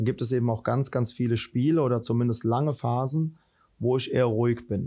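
A man speaks at a medium pitch in a dark, mellow tone with fairly even intonation. The recording is very clean with a silent background. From Rhineland, Germany. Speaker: football head coach. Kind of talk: interview.

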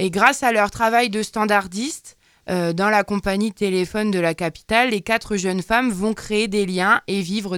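A plain, everyday voice talks at a fairly slow pace in a very clean recording with a silent background and a dry, close sound with no echo. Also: woman. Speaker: radio columnist. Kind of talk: casual chat. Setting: studio.

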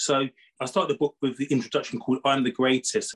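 In a British accent, a man speaks at a medium pitch and a very fast pace, the sound dry and close with no echo. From Britain. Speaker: professor and author. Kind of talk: interview.

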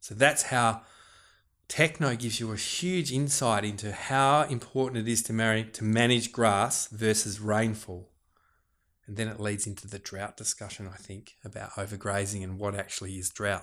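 A man with a fairly low pitch talks at a moderate pace with ordinary pitch variation. His loudness swings widely on a very clean recording with a silent background. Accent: Australian. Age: 40s. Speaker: farmer and fisherman. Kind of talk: casual interview chat.

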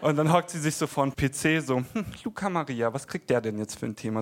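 On a very clean recording with a silent background, a man speaks in an unremarkable speaking voice, fairly high in pitch, with ordinary pitch variation. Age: 20s. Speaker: stand-up comedian. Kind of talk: stand-up. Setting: stage with audience.

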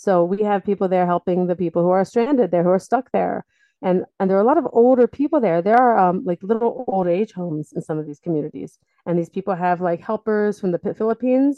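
Speaking at a very fast pace, a woman with an American accent keeps a medium pitch with ordinary variation. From US, Delaware. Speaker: rescue organization spokesperson. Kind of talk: interview.

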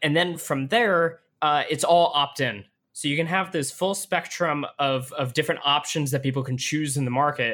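Over a silent background on a very clean recording, a man speaks at a moderate pace with a bright, sharp tone, a fairly high pitch and ordinary pitch variation. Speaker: podcast host. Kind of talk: podcast interview. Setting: in person studio.

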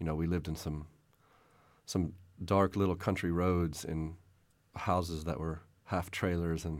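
In a very clean recording with a silent background, a man with a very deep, low pitch speaks fairly slowly in a monotone, flat delivery. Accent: Texan. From Texas, San Antonio. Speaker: novelist. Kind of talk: interview.

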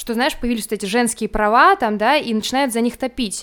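Her voice high in pitch, a woman speaks with ordinary pitch variation. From Russia, Moscow region. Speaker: teacher. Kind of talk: casual chat.

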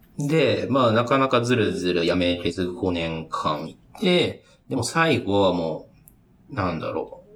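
Noticeable background noise sits behind a man speaking at a fairly slow pace. His medium-pitched voice makes very wide pitch swings. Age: 30s. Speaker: software engineer. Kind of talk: casual chat.

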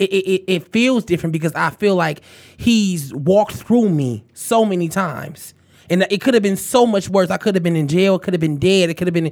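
A man with a high pitch talks at a fairly quick pace with ordinary pitch variation. The recording is very clean, with a silent background. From Detroit, Michigan. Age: 20s. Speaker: podcast host. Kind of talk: casual chat. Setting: studio.

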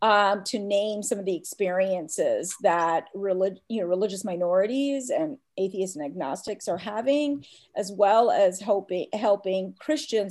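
A woman with an American accent in a plain, everyday voice, medium-pitched, with lively intonation and a fairly slow pace, over a very clean recording with a silent background. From US South, Atlanta, Georgia. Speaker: professor. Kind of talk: interview.

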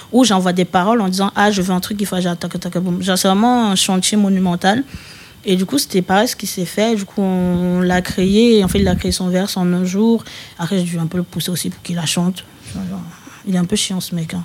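Here is a woman with an unremarkable speaking voice and a medium pitch. She talks at a fairly quick pace with fairly even intonation. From Paris region (Val-de-Marne). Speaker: rapper. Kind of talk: casual interview chat.

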